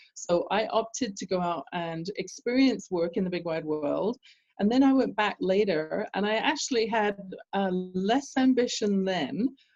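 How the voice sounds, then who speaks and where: A woman speaks with a British accent at a medium pitch. Her pace is fairly slow and her intonation lively. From England. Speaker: business coach. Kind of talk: interview. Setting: call.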